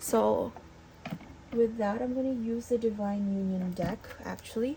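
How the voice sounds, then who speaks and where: A woman mumbles with fairly even intonation. Noticeable background noise sits behind her. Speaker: tarot reader. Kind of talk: tarot reading to camera. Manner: mumbling; hesitant, many fillers.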